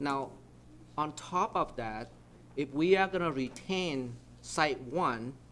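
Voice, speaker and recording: Here a man speaks with lively intonation. His voice is fairly high in pitch. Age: 60s. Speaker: city council member. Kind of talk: council meeting deliberation.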